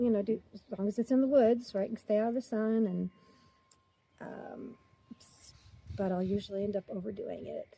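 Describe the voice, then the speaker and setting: A woman with a fairly high, somewhat breathy voice and a dark, mellow tone talks at a moderate pace with fairly even intonation and long, frequent pauses. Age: 60s. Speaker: retiree vlogger. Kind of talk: casual chat. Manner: talkative.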